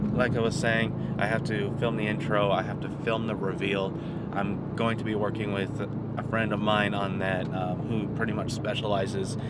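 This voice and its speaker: A man at a moderate pace, the sound dry with no echo, against loud background noise. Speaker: car vlogger. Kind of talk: casual vlog chat. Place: car. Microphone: phone near.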